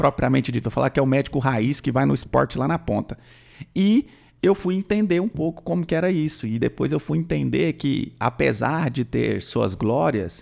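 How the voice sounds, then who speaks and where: With vocal fry and very wide pitch swings, a man of medium pitch talks at a moderate pace. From interior of Goiás, Brazil. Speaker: physician, nutrology. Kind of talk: casual podcast chat.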